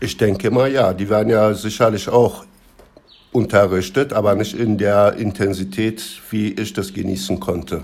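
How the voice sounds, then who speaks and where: With a Turkish accent and a fairly low pitch, a man speaks at a moderate pace with ordinary pitch variation. Noticeable background noise runs beneath him. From Turkey. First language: Turkish (speaking German). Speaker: interviewee. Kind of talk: casual interview.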